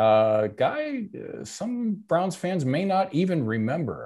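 Very clean recording with a silent background of a man's dark, mellow tone, very wide pitch swings and a fairly slow pace. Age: 50s. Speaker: actor and comedian, football writer. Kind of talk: casual chat.

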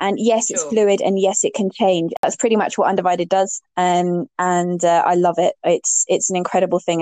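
This woman uses an ordinary speaking voice, pitched at a medium level. She moves along at a fairly quick pace, keeping her intonation fairly even. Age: 30s. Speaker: LGBTQ+ inclusion educator and campaigner. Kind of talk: casual interview chat.

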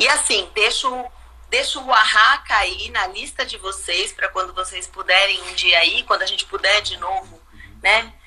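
A woman talks at a moderate pace, her loudness swinging widely over noticeable background noise. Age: 50s. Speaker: visual artist and art educator. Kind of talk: casual chat. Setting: live video stream from home.

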